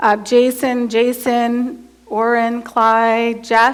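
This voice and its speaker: A woman is speaking. Room echo is audible. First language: American Sign Language. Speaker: college math professor. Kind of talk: lecture.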